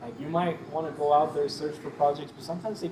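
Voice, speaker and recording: A man talks at a fairly high pitch. Audible room echo and noticeable background noise fill the recording. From northern Mexico, moved to US at about nine. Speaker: photographer. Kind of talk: casual interview. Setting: inside a cantina.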